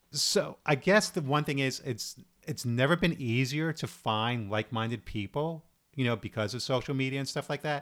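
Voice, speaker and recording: In a normal speaking voice with an American accent, a man of medium pitch talks at a moderate pace on a very clean recording with a silent background. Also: ordinary pitch variation. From New York, Brooklyn. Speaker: theater actor. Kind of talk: casual chat.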